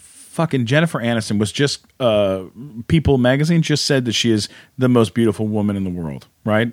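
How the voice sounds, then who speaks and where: In a normal speaking voice, a man talks at a fairly quick pace. His intonation is lively. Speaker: comedian and podcaster.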